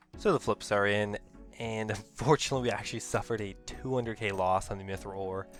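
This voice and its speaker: A man is talking at a very fast pace. There is music in the background. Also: fairly low pitch for a man, ordinary pitch variation. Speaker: gaming video creator. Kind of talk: casual gameplay commentary.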